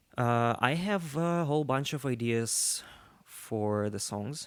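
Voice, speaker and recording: A man speaks with a Russian accent. His pitch variation is ordinary. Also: very clean recording, silent background. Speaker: musician. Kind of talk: interview.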